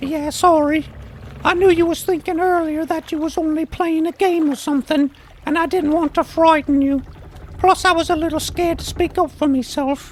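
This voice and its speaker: The speaker puts on a character voice with a high pitch at a moderate pace. Clear background noise is audible. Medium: audio drama. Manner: folksy, ungrammatical, hesitant.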